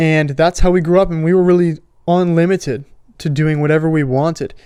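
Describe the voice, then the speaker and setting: This man talks at a fairly quick pace with a Florida accent and a fairly high pitch. His intonation is monotone and flat, with a dark, mellow tone. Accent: American, Florida. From South Florida. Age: 20s. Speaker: podcast host. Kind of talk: testimony. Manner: casual.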